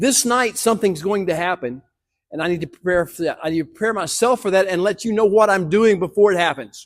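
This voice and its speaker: A man speaks at a very fast pace in a high voice with ordinary pitch variation. The recording is very clean with a silent background. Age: 70s. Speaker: teacher. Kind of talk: sermon.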